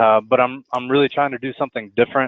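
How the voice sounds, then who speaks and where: A man speaks with a Texan accent. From Texas. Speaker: student, product designer. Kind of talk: class self-introduction. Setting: online class web meeting.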